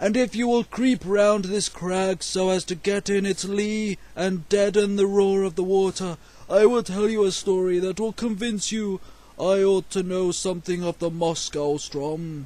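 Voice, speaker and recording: A man does a put-on character voice pitched high. He keeps a moderate pace. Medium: read story.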